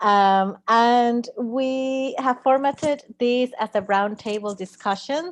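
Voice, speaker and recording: A woman with a Spanish accent speaks against a quiet background. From Puerto Rico. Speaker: theatre artist and moderator. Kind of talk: panel discussion. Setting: live stream.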